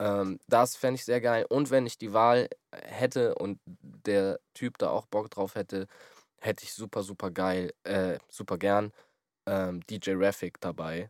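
A man with a fairly low pitch talks at a very slow pace with fairly even intonation. The sound is dry and close, with no echo. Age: 20s. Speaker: podcast host and musician. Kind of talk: casual chat.

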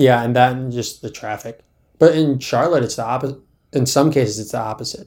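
The speech comes at a fairly quick pace with big swings in loudness. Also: man, medium pitch for a man. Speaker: podcast co-host. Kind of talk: casual chat. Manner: monotone, not very expressive.

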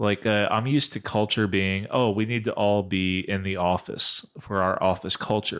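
Recorded very cleanly against a silent background, a man with a fairly low pitch speaks at a moderate pace with fairly even intonation, hardly any pauses and very even loudness. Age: 40s. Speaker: corporate employee on a podcast panel. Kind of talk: casual chat. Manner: halting.

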